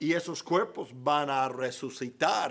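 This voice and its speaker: A man speaks very slowly. The recording is very clean, with a silent background. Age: 60s. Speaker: pastor. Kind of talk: Bible class teaching. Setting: church.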